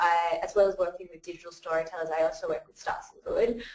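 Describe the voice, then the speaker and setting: A woman's medium-pitched voice, in an Australian accent. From Australia, Western Sydney. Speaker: crowdfunding community builder. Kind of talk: webinar presentation. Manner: hesitant, many filler words.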